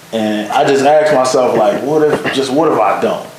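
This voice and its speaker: In an American accent, a man talks at a moderate pace and medium pitch with ordinary pitch variation. Room echo and noticeable background noise are both audible. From Michigan, Detroit area (Pontiac). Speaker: video producer. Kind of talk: casual interview chat.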